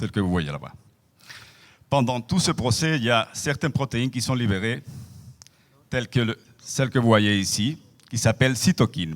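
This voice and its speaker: With a non-native accent, a man speaks at a moderate pace and a medium pitch, his intonation lively. He takes long, frequent pauses. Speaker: professor. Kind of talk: lecture. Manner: hesitant, with fillers.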